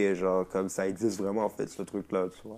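The speaker is a man. His words come out fairly quickly. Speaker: rapper. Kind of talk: casual chat. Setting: at the host's home.

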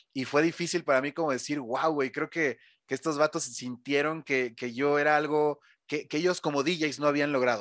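In a dry, close sound with no echo and a quiet background, a man uses a normal speaking voice at a fairly high pitch, moderate pace and fairly even intonation. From Mexico City. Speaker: DJ and radio host. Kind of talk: casual interview.

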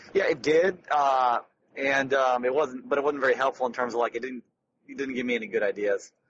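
A man with an ordinary speaking voice at medium pitch, fairly quick in pace, with fairly even intonation. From Detroit, US Midwest. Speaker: podcast co-host. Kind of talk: casual chat. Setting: in a car.

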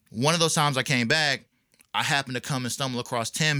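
Very fast and bright, sharp in tone, a man's medium-pitched voice comes through on a very clean recording with a silent background. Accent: American. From North Carolina. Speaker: rapper. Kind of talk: casual interview.

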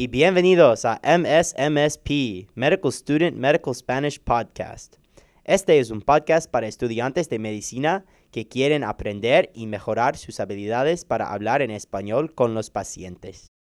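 A man with an English accent, medium pitch and lively intonation, at a fairly slow pace. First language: English (speaking Spanish). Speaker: medical student, podcast co-host. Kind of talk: scripted introduction.

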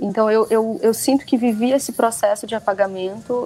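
This is an ordinary speaking voice. The pitch variation is ordinary. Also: woman. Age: 20s. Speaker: author and researcher. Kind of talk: interview.

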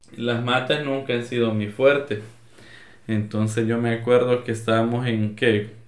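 Audible room echo follows a man speaking in a monotone, flat way at a fairly slow pace. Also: medium pitch for a man. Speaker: podcast co-host. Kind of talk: casual chat.

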